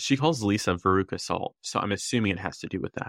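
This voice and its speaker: A man talks fairly quickly in an ordinary speaking voice, his intonation lively. The sound is dry and close with no echo, and the recording is very clean against a silent background. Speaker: podcast co-host. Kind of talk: casual chat recapping reality TV.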